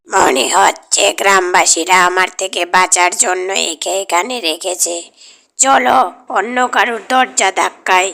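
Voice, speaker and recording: A female-sounding cartoonish character voice, raspy and menacing in tone, sits at a medium pitch. It moves at a very slow pace. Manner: muttering, greedy, menacing.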